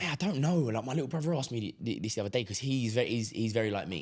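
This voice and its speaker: Talking at a very fast pace, a man with a London accent uses lively intonation at a medium pitch. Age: 20s. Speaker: entrepreneur. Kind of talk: casual chat.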